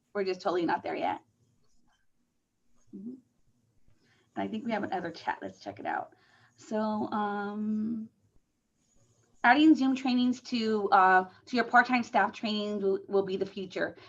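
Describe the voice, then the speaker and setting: Pausing long and often, a woman speaks with a fairly high pitch and ordinary pitch variation. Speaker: conference presenter on senior services. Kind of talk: conference presentation over video call. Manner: fast; many filler words and repetitions.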